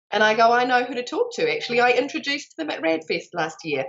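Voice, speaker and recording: Speaking with a New Zealand accent at a fairly quick pace, the voice sounds animated and swings very widely in pitch. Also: woman. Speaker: life extension advocate and connector. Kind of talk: interview.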